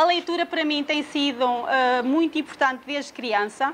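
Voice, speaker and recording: The intonation stays fairly even at a moderate pace. Noticeable background noise runs underneath. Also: woman. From Portugal, Leiria. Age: 40s. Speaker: social care director. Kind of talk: personal talk about reading. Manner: hesitant, many fillers.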